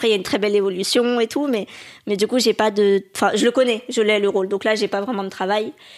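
Her pitch is fairly high and her intonation fairly even. This woman talks at a very fast pace. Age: 20s. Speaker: actress. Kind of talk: casual interview.

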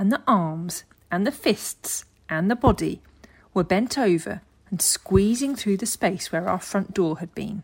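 Simple, plain reading aloud

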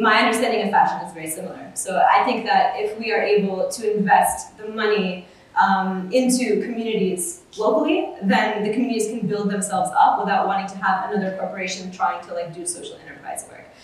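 A speaker with an American accent goes at a fairly quick pace with hardly any pauses and ordinary pitch variation. Loudness swings widely over noticeable background noise. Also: woman, medium pitch for a woman. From US, Oklahoma suburb. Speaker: ethical fashion activist. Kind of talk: panel discussion before live audience. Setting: live event with audience at a university. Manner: casual, many fillers like 'like' and 'um'.

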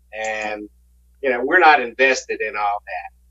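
Noticeable background noise surrounds a man speaking with a Southern US accent. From South Carolina, Aiken County. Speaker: lead guitarist. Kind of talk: casual interview.

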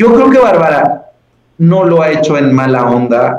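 Very wide pitch swings from a man talking at a fairly slow speed. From Mexico, Puebla. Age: 30s. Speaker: physician and science communicator. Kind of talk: casual chat.

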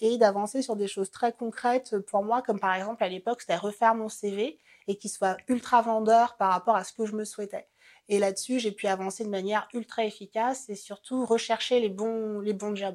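A woman speaks in a flat monotone in a very clean recording with a silent background. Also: fairly high pitch for a woman, moderate pace. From French Antilles (Marie-Galante, Guadeloupe). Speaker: career changer sharing her story. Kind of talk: personal testimony.

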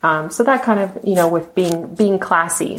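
A woman speaks in an American accent at a medium pitch and moderate pace. It is a plain, everyday voice with ordinary pitch variation. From Texas. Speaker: model and author, former event planner. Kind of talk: casual interview chat.

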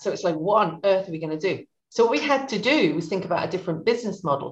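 Very fast, lively speech from a woman at a medium pitch. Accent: English. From Suffolk, England. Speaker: beauty brand founder. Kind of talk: interview.

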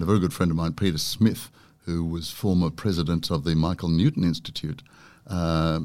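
A man with a very deep, low voice and an Australian accent, at a moderate pace with ordinary pitch variation, on a very clean recording with a silent background. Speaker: broadcaster and author. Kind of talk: casual interview chat. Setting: studio.

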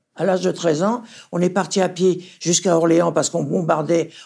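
Her voice fairly low in pitch, a woman speaks at a moderate pace with vocal fry, a slightly husky edge, a slightly mellow tone and fairly even intonation.

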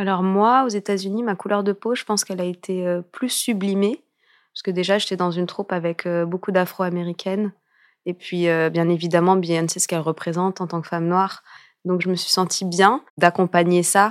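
In a very clean recording with a silent background, a woman talks at a fairly quick pace in an ordinary speaking voice. Her pitch is medium and her intonation fairly even, with a dry, close sound and no echo. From France. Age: 30s. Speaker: dancer and choreographer. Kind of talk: interview. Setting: studio.

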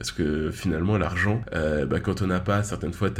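At a moderate pace, a man with a very deep, low pitch and a somewhat breathy voice speaks with ordinary pitch variation amid audible room echo. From Paris region. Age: 20s. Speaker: podcast host. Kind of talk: solo podcast monologue. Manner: casual, filler-heavy.

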